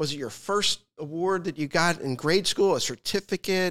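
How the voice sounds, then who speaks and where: Recorded very cleanly with a silent background, a man speaks at a moderate pace, the sound dry and close with no echo. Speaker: podcast host. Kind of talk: interview conversation.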